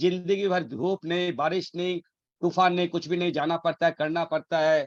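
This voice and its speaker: A man with a high voice speaks at a moderate pace and fairly even intonation, the sound dry and close with no echo. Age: 50s. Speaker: network marketing leader. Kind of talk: motivational business pitch. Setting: video call. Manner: repetitive emphatic.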